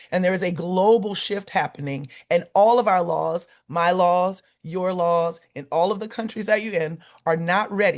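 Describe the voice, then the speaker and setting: A woman with an American accent talks at a moderate pace, her pitch medium and its variation ordinary. The background is quiet. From US South, Louisiana. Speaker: lawyer and climate justice organizer. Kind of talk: keynote speech. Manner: impassioned.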